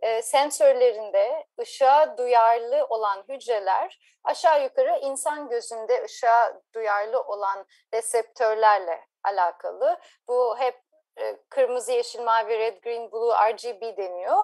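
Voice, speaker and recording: A woman's fairly high voice at a very slow pace, ordinary pitch variation, quiet background. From Turkey, Ankara. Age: 40s. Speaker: marine scientist. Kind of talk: interview.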